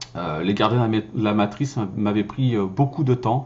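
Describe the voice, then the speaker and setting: A man with a fairly low, somewhat breathy voice speaks at a moderate pace with ordinary pitch variation. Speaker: voice-over actor and filmmaker. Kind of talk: casual vlog talk. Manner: hesitant, many fillers.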